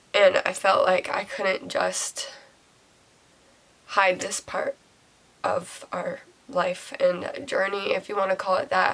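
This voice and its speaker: A woman speaking at a very slow pace with long, frequent pauses, over noticeable background noise. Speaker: mommy vlogger. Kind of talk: personal vlog testimony. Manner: hesitant, with fillers.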